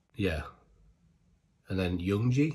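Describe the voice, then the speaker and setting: Somewhat breathy, a man speaks on a very clean recording with a silent background. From Britain. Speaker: K-pop reaction YouTuber. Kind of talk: casual monologue to camera. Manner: animated.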